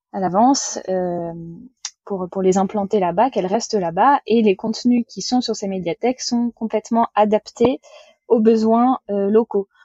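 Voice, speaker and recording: A woman, somewhat breathy, with a fairly high pitch and ordinary pitch variation, at a fairly slow pace with long, frequent pauses. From western France, Vendée. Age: 20s. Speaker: sailor running a library sailboat project. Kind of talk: casual interview.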